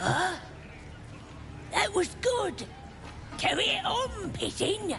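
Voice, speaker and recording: A put-on character voice sits at an extremely high pitch and moves at a very slow pace. Loud music plays in the background. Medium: video game. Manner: loud, brash, impatient.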